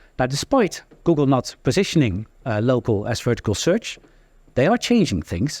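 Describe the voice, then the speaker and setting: Vocal fry runs through this man's fairly high voice, which makes very wide pitch swings at a moderate pace. The sound is dry and close with no echo, on a very clean recording with a silent background. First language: Dutch. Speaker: local SEO software founder, conference speaker. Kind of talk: conference talk. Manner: many fillers and hesitations.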